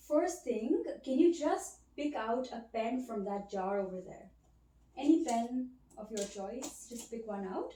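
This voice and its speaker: Soft-spoken with a fairly high pitch, a woman uses lively intonation and big swings in loudness. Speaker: ASMR creator playing a cognitive examiner. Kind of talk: ASMR role play, soft-spoken examiner.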